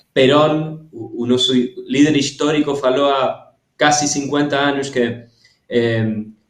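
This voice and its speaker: Very slowly and in a monotone, flat intonation, a man with a Spanish accent speaks at a fairly high pitch. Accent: Spanish-accented Portuguese, weak Portuguese. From Argentina. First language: Spanish (speaking Portuguese). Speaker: cultural policy expert. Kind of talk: interview. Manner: halting, many hesitations.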